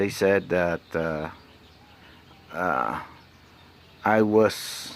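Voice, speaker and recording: With a Spanish accent and ordinary pitch variation, a man speaks over noticeable background noise. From Mexico. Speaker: vlogger. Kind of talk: personal vlog monologue. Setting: alone, self-recorded. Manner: halting, many fillers.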